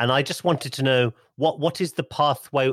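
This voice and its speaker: Speaking at a moderate pace in a British accent, a man uses lively intonation and some vocal fry. The very clean recording has a silent background and a dry, close sound with no echo. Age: 50s. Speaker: podcast host. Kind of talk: interview. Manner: halting.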